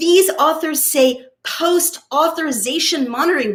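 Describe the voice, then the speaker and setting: Shouting in a hoarse, put-on character voice, a woman delivers her lines. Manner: shouting, emphatic.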